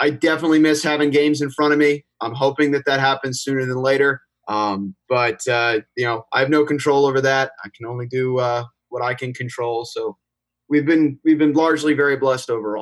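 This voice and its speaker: This is an ordinary speaking voice with an American accent and fairly even intonation. The pace is fairly quick, and the sound is dry and close with no echo. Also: man, fairly high pitch for a man. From New Jersey (Princeton). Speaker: sports play-by-play broadcaster. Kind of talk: casual interview chat.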